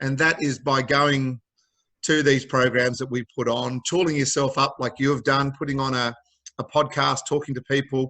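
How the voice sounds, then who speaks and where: With an Australian accent, a man speaks at a moderate pace in a medium pitch, his bright, sharp tone flat and monotone. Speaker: mental health charity founder. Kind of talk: interview.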